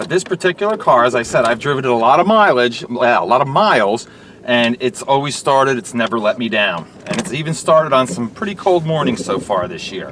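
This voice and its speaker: With noticeable background noise behind him, a man at a medium pitch talks at a fairly quick pace with hardly any pauses and very wide pitch swings. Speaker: used car dealer. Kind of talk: sales pitch. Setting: in a car.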